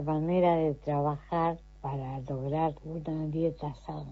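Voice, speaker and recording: A woman's very deep, low voice at a very slow pace. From Argentina, Entre Ríos (Concepción del Uruguay). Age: 70s. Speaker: retired court employee and garden volunteer. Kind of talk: recorded testimony.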